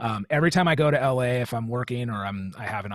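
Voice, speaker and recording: Speaking in a Californian accent, this voice moves at a fairly quick pace with ordinary pitch variation. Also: man. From Southern California (Long Beach, Riverside County). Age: 40s. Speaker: drummer. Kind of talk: casual chat.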